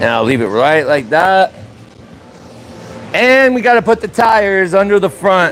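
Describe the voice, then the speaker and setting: Loud and high-pitched, a man speaks at a fairly slow pace amid noticeable background noise. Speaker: car mechanic livestreamer. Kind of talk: live stream tutorial. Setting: garage. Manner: casual.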